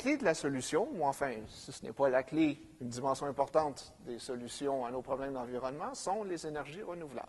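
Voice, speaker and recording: This man's pitch sits fairly high. His voice shows ordinary pitch variation. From Quebec. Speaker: professor, economic geographer. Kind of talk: conference lecture. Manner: hesitant, many fillers.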